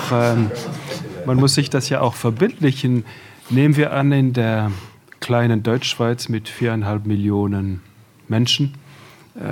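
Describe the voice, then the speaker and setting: A medium-pitched male voice at a fairly slow pace, with fairly even intonation. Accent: French. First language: French (speaking German). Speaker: radio executive, panel guest. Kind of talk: panel discussion.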